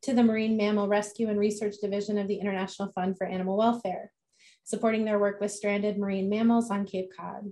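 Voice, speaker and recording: A woman speaks at a very fast pace with monotone, flat intonation and a dark, mellow tone. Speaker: event host. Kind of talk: speaker introduction. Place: home room. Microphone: video call.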